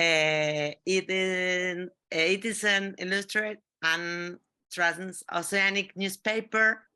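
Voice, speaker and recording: This speaker has a Spanish accent and talks at a very slow pace with fairly even intonation. The tone is bright and sharp, and the background is quiet. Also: woman, medium pitch for a woman. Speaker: collective magazine editor. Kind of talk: panel discussion. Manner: halting, hesitant.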